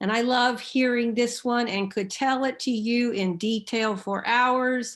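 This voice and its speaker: In a very clean recording with a silent background, a woman with an American accent speaks at a moderate pace, with a fairly high pitch and fairly even intonation. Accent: Oklahoma accent, comes out more as she talks. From Oklahoma, US (Enid). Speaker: seminary president and theologian. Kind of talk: lecture.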